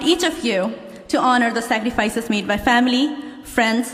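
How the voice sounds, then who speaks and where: Amid noticeable background noise and audible room echo, a woman talks at a moderate pace in a high pitch with ordinary pitch variation. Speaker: law graduate. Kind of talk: commencement speech. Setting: stage with audience. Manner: formal.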